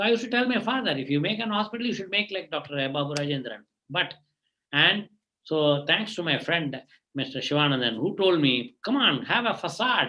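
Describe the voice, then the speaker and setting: This man's voice sits high and swings very widely in pitch. He talks at a fairly quick pace. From India, Tamil Nadu. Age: 60s. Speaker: eye surgeon. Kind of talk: motivational talk to students. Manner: halting.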